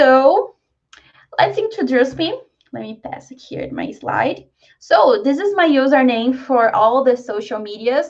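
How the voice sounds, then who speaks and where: Delivered at a very slow pace in a Brazilian Portuguese accent, the speech has very wide pitch swings and big swings in loudness. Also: woman, high pitch for a woman. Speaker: software developer and tech meetup speaker. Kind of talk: online tech talk presentation. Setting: live video call meetup.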